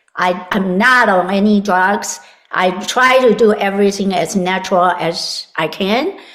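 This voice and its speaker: The woman's voice sits at a medium pitch with ordinary pitch variation. Noticeable background noise runs under it. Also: fairly slow pace. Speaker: health and vitality expert. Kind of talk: interview.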